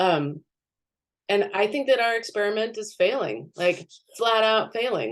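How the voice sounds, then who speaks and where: The woman's pace is fairly slow. Her pitch rises and falls over a very wide range. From Southern California. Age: 40s. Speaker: beekeeper and art professor. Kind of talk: talk and discussion. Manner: halting, many fillers and restarts.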